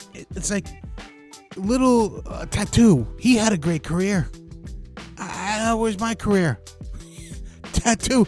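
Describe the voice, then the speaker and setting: Music plays behind a man who speaks with an American accent at a high pitch for a man. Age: 50s. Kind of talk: casual talk to camera. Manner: comical, ranting.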